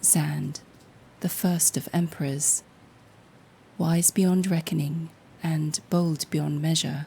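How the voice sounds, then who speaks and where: A woman speaks at a very slow pace. Her voice is very deep and low, somewhat breathy, with a dark, mellow tone. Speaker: storyteller. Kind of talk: sleep story.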